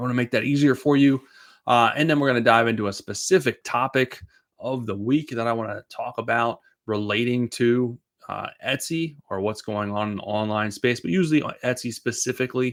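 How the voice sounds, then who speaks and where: A man with a Boston accent at a medium pitch, ordinary pitch variation and a fairly quick pace, on a very clean recording over a silent background. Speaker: Etsy seller and business coach. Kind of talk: live show Q&A. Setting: livestream. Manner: casual, filler-heavy with stumbles.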